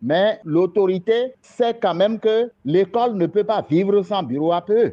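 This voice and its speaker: This man's voice sits high for a man, moving very slowly with lively intonation. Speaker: parents' association president. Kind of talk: recorded interview.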